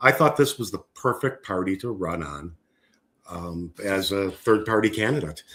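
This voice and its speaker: A man speaks at a moderate pace with a fairly low pitch and a bright, sharp tone. The recording is very clean, with a silent background. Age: 60s. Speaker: political candidate. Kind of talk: interview. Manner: hesitant, many fillers.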